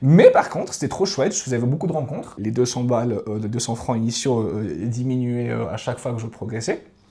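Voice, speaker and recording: At a fairly quick pace, a man speaks with medium pitch and lively intonation. He takes hardly any pauses. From Switzerland, Valais. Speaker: podcast guest, traveller. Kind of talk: casual interview conversation. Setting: podcast studio with cameras. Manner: hesitant, many fillers.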